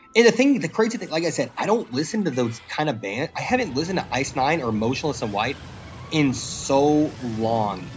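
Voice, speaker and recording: At a fairly quick pace, a man speaks with very wide pitch swings and a fairly high pitch. Noticeable background noise is present. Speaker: game streamer. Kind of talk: casual live stream chat.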